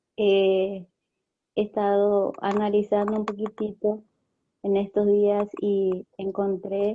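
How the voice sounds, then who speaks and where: Speaking at a fairly slow pace, a woman keeps a medium pitch, monotone, flat intonation and very even loudness. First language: Spanish. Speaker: teacher of children. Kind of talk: testimony.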